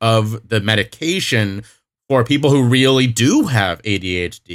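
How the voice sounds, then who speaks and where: Recorded very cleanly against a silent background, this is an unremarkable speaking voice with ordinary pitch variation. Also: man. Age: 30s. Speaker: recovery speaker and podcaster. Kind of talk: interview.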